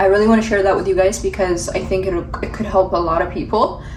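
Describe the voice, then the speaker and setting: Amid noticeable background noise and audible room echo, a woman talks in a medium pitch. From Ethiopia. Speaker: vlogger and aspiring model. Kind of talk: vlog talk to camera. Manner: fast.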